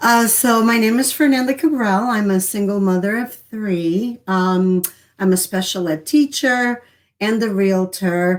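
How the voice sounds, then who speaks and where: In a very clean recording with a silent background, a woman with a Portuguese accent speaks fairly slowly at a medium pitch, with ordinary pitch variation. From Lisbon, Portugal, then US from age 12. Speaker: realtor and special ed teacher. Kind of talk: interview.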